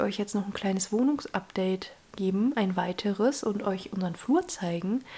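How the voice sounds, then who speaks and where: With lively intonation and a somewhat breathy quality, a woman speaks at a moderate pace and medium pitch. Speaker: vlogger, law student. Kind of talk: casual vlog. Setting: at home, desk. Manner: casual, chatty, English mixed in.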